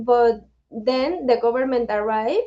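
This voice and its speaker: A woman speaks with a Spanish accent in a dark, mellow tone. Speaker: nonprofit director. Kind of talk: webinar interview. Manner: halting.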